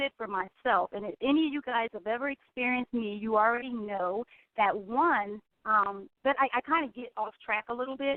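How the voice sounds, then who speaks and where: The speaker has an American accent and ordinary pitch variation. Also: woman. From US, West Philadelphia. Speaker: radio host, life coach. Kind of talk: radio talk show monologue. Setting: radio studio. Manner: fast; sometimes mumbled.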